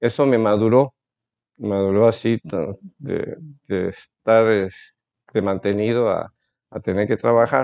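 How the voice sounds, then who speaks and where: Here a man speaks at a very slow pace with long, frequent pauses. His pitch is medium, with ordinary variation. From Veracruz, Mexico. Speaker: ophthalmologist. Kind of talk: interview. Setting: doctor's office. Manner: halting.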